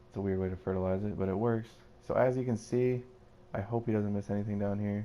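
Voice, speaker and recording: A man's fairly low, monotone, flat-pitched voice at a moderate pace. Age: 20s. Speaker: gaming youtuber. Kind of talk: gameplay commentary. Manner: casual, filler-heavy.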